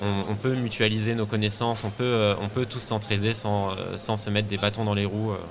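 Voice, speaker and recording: With music in the background and audible room echo, a man with a fairly low pitch speaks in a flat monotone. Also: moderate pace. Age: 30s. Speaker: fashion designer, t-shirt brand founder. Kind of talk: interview. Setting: live at a trade fair stand.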